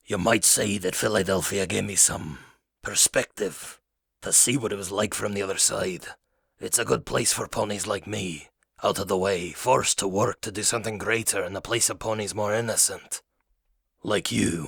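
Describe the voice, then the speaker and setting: In a very clean recording with a silent background, a raspy, put-on character voice is heard. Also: man, fairly low pitch for a man, moderate pace. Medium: read story. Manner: grave, heavy, menacing.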